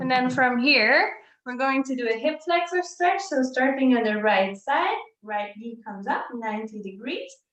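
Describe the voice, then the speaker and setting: A non-native accent, very wide pitch swings and a moderate pace. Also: woman, high pitch for a woman. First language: not English. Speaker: fitness instructor. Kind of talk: live workout class instruction.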